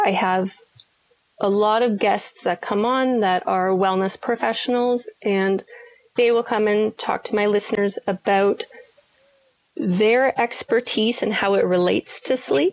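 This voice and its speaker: A woman speaks in an unremarkable speaking voice at a fairly high pitch with fairly even intonation. Her loudness stays very even, and the sound is dry and close with no echo. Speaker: sleep coach and author. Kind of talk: casual interview. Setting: remote audio recording.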